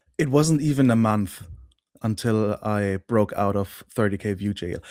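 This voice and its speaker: A dark, mellow tone with a German accent, in a very clean recording with a silent background and a dry, close sound with no echo. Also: man. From Germany. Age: 30s. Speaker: online course client, YouTube creator. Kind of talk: interview. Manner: hesitant, many fillers.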